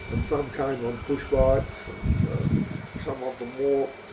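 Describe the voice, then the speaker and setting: With an Australian accent, a man speaks at medium pitch with fairly even intonation, amid noticeable background noise and audible room echo. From Australia, rural. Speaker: retired farmer. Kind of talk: interview. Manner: halting.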